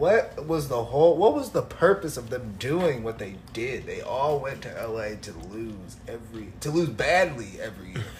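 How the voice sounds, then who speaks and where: With an American accent and lively intonation, a man of medium pitch talks at a moderate pace with hardly any pauses, amid audible room echo and music in the background. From US Midwest, Illinois. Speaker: podcast co-host. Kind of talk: casual chat.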